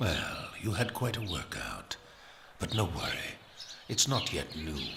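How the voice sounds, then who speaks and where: Using a put-on character voice, a man speaks with lively intonation at a medium pitch over clear background noise. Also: fairly slow pace. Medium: machinima. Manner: smooth, condescending.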